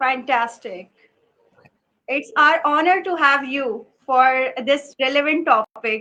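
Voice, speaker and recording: A woman speaks very slowly in a high, bright and sharp voice. She projects it, keeping it raised throughout. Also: ordinary pitch variation. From Pakistan (Karachi). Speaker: English instructor and show host. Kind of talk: live stream interview. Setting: live stream video call. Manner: formal.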